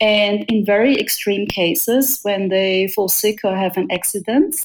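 A woman's lively intonation at a fairly slow pace, with music in the background. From Austria. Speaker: startup founder. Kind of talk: interview.

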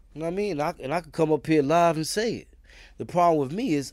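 The recording is very clean with a silent background. A man talks at a fairly high pitch with ordinary pitch variation. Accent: New York. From Brooklyn, New York (East New York), also Queens. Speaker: former prisoner. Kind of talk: casual interview conversation. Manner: animated storytelling.

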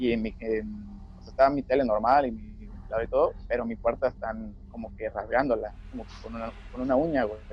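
With a Mexican accent, a man talks at a fairly quick pace. His loudness swings widely. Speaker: podcast co-host. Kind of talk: casual chat.

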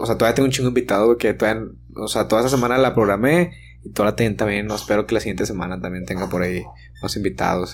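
Very fast and lively in intonation, a man speaks in a fairly low pitch with vocal fry. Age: 30s. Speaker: podcast host. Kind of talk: casual chat. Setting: studio.

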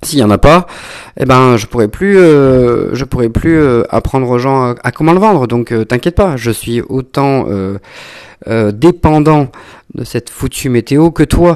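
A man's medium-pitched voice at a fairly slow pace, ordinary pitch variation, long, frequent pauses throughout. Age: 30s. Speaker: wine educator and podcaster. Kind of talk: casual monologue. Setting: at home. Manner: halting, many fillers.

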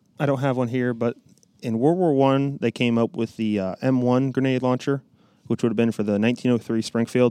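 Dry and close with no echo, a man with an American accent speaks at a moderate pace in a medium-pitched voice with a dark, mellow tone and ordinary pitch variation. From US Midwest, Illinois. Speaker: firearms collector and reenactor. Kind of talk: casual chat. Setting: shooting range.

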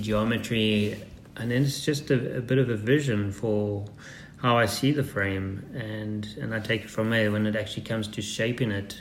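A man at a medium pitch, moderate pace and fairly even intonation, with audible room echo. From Zimbabwe and South Africa. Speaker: custom composites builder and adventure racer. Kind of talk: interview. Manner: halting, many fillers.

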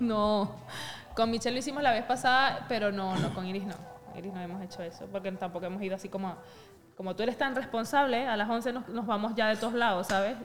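Noticeable background noise sits behind a woman talking at a very fast pace. Her pitch is fairly high, with ordinary variation. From Venezuela. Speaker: podcast co-host. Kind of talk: casual chat.

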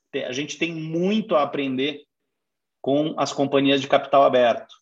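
A man talks at a moderate pace and a fairly high pitch, with ordinary pitch variation. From Brazil, raised in Curitiba. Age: 40s. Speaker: finance executive. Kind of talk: interview. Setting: online live stream.

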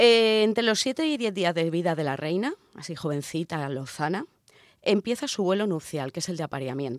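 Her pitch is fairly low and swings very widely. The woman keeps a moderate pace. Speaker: radio show co-host. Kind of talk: casual chat with scripted segments. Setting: radio studio. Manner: exaggerated sensual voice in intro.

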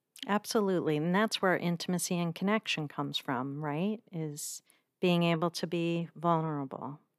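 A woman has an unremarkable speaking voice, fairly low in pitch, and talks at a moderate pace. The recording is very clean with a silent background, dry and close with no echo. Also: ordinary pitch variation. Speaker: podcast host and nonprofit CEO. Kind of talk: interview intro and conversation.

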